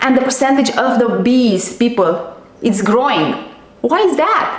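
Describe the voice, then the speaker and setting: A woman's high voice with a non-native accent, lively intonation, very even loudness and a fairly slow pace, plus noticeable background noise and audible room echo. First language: not English. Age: 40s. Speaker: diet and nutrition coach. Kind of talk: vlog monologue. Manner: animated; halting.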